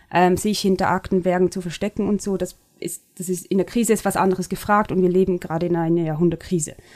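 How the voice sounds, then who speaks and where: A woman speaks at a very fast pace. Her pitch is medium and her intonation is monotone and flat. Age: 30s. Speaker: media company CEO, former stage director and dancer. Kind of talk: interview conversation.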